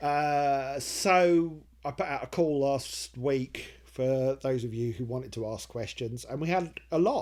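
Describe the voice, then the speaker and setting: His voice sits fairly high, with ordinary pitch variation. A man talks fairly slowly in a normal speaking voice. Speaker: comedy writer and video maker. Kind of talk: casual Q&A talk to camera.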